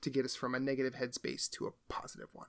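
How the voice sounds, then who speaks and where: Fairly high-pitched male voice with a Midwestern American accent, a bright, sharp tone and a very clean recording with a silent background. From US Midwest, Iowa. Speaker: podcast co-host. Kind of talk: casual chat.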